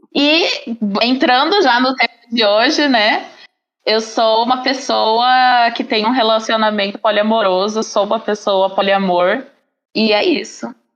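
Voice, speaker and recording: A woman with a plain, everyday voice talks at a fairly slow pace and fairly high pitch, with ordinary pitch variation and very even loudness. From Paraná, southern Brazil. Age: 20s. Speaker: podcast guest, teacher. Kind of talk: podcast interview.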